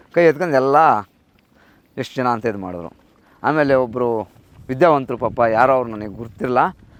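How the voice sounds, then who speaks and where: A man talks at a medium pitch with ordinary pitch variation, in a plain, everyday voice. His loudness swings widely. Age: 40s. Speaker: cattle farmer. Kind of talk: casual interview.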